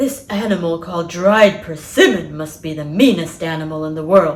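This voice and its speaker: The voice is a put-on character voice pitched in the middle range. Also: female-sounding voice, moderate pace. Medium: read story.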